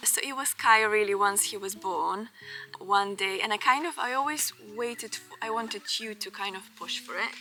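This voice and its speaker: Music plays behind a woman speaking at a moderate pace, her pitch fairly high with ordinary variation. Her loudness swings widely. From Bulgaria. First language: Bulgarian. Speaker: vlogger. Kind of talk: casual chat.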